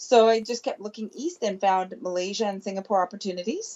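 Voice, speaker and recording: With a Canadian accent, a woman with an unremarkable speaking voice and fairly high pitch speaks at a fairly quick pace. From Canada. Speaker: chiropractor. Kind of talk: interview. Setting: phone call.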